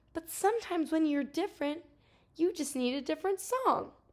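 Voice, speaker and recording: Squeaky and extremely high-pitched, a woman puts on a character voice. She talks at a fairly quick pace with lively intonation. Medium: read story.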